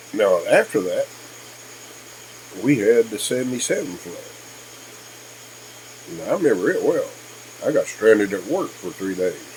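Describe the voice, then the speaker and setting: With an American accent, a man talks at a moderate pace, leaving long, frequent pauses. His loudness swings widely over noticeable background noise. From Kentucky. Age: 60s. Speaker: YouTuber. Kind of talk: casual vlog monologue. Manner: hesitant, with many fillers.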